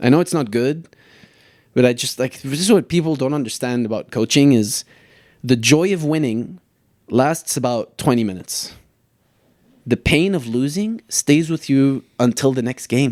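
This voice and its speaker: Speaking at a moderate pace with an American accent, a man leaves long, frequent pauses on a very clean recording with a silent background and a dry, close sound with no echo. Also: medium pitch for a man, ordinary pitch variation. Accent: closer to American than British. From Lebanon. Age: 30s. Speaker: soccer coach. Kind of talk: casual podcast interview.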